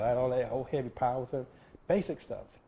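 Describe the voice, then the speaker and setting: His tone is dark and mellow at a medium pitch. The man sounds somewhat breathy. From Florida. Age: 60s. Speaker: oral history interviewee. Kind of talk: oral history interview. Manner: halting, many fillers.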